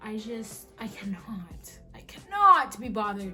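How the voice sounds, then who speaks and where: Amid noticeable background noise and audible room echo, a woman talks in an animated tone. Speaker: vlogger. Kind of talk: casual chat.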